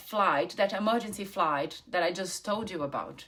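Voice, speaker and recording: Lively intonation in a Brazilian accent. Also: woman. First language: Portuguese. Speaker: travel points content creator. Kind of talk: personal story to camera. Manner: casual, unscripted.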